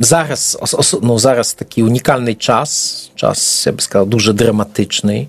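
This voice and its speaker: Noticeable background noise sits behind a man of medium pitch with ordinary pitch variation. He talks at a fairly slow pace with hardly any pauses. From eastern Poland. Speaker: preacher. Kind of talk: interview. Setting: studio.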